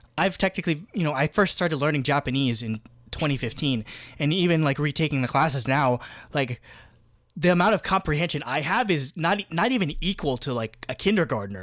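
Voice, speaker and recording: A man with a New Jersey accent at a fairly high pitch, with lively intonation and a fairly quick pace, in a very clean recording with a silent background. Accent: American (New Jersey). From New Jersey, US. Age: 20s. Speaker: podcast co-host. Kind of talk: casual chat. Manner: fast, filler-heavy.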